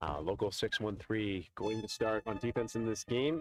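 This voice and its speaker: A man talks with a normal speaking voice at a moderate pace. His intonation is lively, and the sound is dry and close with no echo. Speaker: sports commentator. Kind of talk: live commentary.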